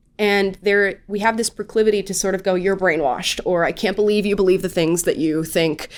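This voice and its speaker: Here a woman with an American accent talks at medium pitch and a fairly quick pace. Her intonation is fairly even, in an unremarkable speaking voice. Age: 20s. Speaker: political commentator. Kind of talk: casual interview.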